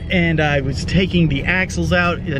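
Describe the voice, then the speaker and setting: Music plays in the background as a man speaks at a high pitch, the sound dry with no echo. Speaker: RV travel vlogger. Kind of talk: casual vlog chat. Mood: upbeat, pleased. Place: car. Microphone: phone near.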